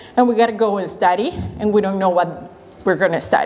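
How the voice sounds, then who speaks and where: Noticeable background noise sits behind a woman speaking with a Spanish accent. Her intonation is lively. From Venezuela. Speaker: financial educator. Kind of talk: workshop talk.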